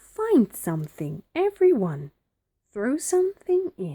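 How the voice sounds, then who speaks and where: A woman's high-pitched, put-on character voice at a fairly slow pace. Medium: read story.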